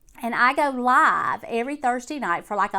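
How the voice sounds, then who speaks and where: In a very clean recording with a silent background, a woman speaks with an Alabama accent at a moderate pace. Her voice is high-pitched, with a bright, sharp tone. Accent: Southern US (Alabama). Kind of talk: casual talk to camera.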